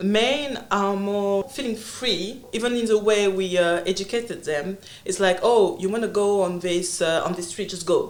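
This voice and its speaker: A woman with a French accent at a moderate pace, medium pitch, ordinary pitch variation and hardly any pauses, with audible room echo. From Congo. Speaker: entrepreneur and consultant. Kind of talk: interview conversation. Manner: halting.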